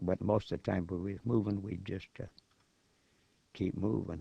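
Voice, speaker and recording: Speaking at a moderate pace, a man has a dark, mellow tone and an American accent. The sound is dry and close, with no echo. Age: 80s+. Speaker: war veteran. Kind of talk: oral history interview. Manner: halting, many repetitions.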